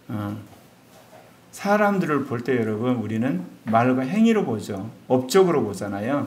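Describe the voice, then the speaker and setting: A man speaks at a fairly slow pace with very wide pitch swings, and audible room echo surrounds his voice. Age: 60s. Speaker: pastor. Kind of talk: sermon.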